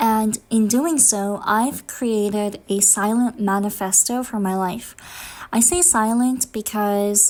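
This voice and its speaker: The speech has fairly even intonation and a fairly slow pace in an ordinary speaking voice. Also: woman. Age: 20s. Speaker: vlogger. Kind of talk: personal vlog monologue.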